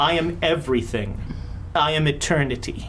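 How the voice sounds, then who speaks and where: A man's put-on character voice, fairly high-pitched, at a moderate pace over clear background noise. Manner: grand, all-knowing.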